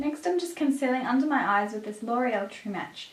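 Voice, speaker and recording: Lively, fairly high-pitched speech from a woman at a fairly quick pace, with audible room echo and noticeable background noise. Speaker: beauty vlogger. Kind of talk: tutorial.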